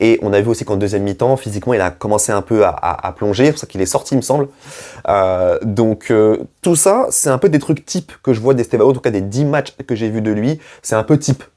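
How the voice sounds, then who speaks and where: Captured in a very clean recording with a silent background, a man with a medium pitch and a dark, mellow tone talks at a fairly quick pace with ordinary pitch variation. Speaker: football YouTuber. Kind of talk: match debrief vlog. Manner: casual, hesitant with fillers.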